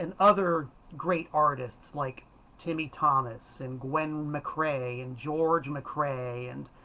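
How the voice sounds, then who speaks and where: A fairly high-pitched man with an American accent and an animated tone, over noticeable background noise. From South Florida. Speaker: music collector and video host. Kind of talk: casual live-stream chat. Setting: live stream from home.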